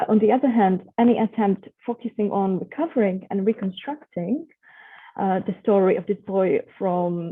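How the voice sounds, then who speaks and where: A woman with a medium-pitched voice and a non-native accent, at a moderate pace. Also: ordinary pitch variation. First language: not English. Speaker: researcher. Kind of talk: online presentation. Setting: video call. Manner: halting, many fillers.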